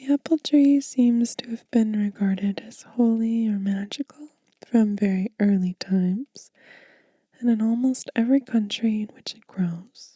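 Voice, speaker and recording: Soft-spoken and somewhat breathy, a woman speaks at a fairly slow pace in a gentle, dark, mellow tone, with big swings in loudness and a dry, close sound with no echo. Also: fairly high pitch for a woman, ordinary pitch variation. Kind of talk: ASMR book reading for sleep. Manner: soft-spoken, gentle.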